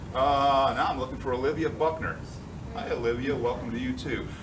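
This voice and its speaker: With audible room echo and noticeable background noise, a man talks at a fairly quick pace and a fairly high pitch. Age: 60s. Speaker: engineering professor. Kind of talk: lecture. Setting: classroom. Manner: casual, conversational.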